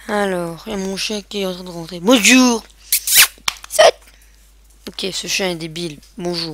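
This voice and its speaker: Over noticeable background noise, a woman at a medium pitch speaks very slowly with long, frequent pauses, ordinary pitch variation and big swings in loudness. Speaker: gaming video creator. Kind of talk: let's play commentary. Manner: animated.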